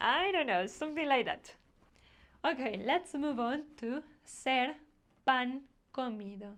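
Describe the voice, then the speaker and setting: Talking at a very slow pace in a Spanish accent, a woman uses a high pitch and lively intonation. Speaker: language teacher. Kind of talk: tutorial.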